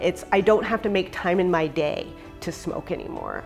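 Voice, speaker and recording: Faint music plays in the background as a woman with a fairly low pitch speaks at a moderate pace. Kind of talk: interview answer. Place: home room. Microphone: lapel.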